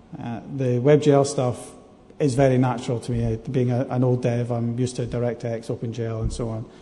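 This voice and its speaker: Audible room echo surrounds a man with a Scottish accent. He speaks at a fairly quick pace in a monotone, flat intonation. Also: medium pitch for a man. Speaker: game programmer. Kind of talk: conference talk. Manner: hesitant, many fillers.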